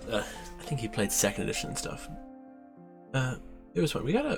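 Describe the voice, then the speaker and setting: With music in the background, a man speaks softly. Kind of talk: ASMR casual rambling talk. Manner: soft-spoken.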